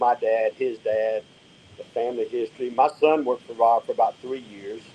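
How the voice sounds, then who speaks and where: A man with a Southern US accent at a fairly quick pace, dry and close with no echo, over noticeable background noise. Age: 60s. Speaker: drag racing driver. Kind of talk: casual chat. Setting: live stream podcast.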